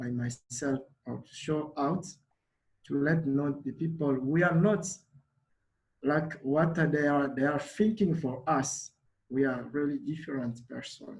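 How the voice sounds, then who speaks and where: A man with a Congolese accent speaks at a fairly slow pace with ordinary pitch variation. His voice is fairly high and somewhat breathy. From DR Congo, Kinshasa. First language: Lingala. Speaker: refugee community organizer. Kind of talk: panel talk. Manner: halting.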